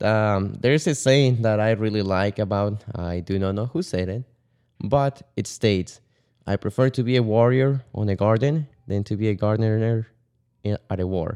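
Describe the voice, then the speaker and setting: A man speaks at a moderate pace in a fairly low pitch with ordinary pitch variation and a dark, mellow tone, the sound dry and close with no echo, on a very clean recording with a silent background. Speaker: podcast co-host.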